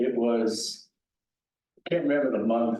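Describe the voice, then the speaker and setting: This voice has a dark, mellow tone and an American accent. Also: man. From San Francisco, US West Coast. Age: 90s. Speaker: war veteran. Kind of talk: talk to veterans club meeting. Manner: halting.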